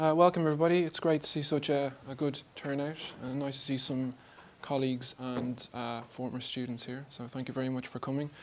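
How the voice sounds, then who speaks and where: Mumbling at a fairly quick pace, the speaker has an Irish accent and fairly even intonation. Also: man, medium pitch for a man. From Ireland. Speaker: artist and art lecturer. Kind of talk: lecture. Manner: speeds up as he talks.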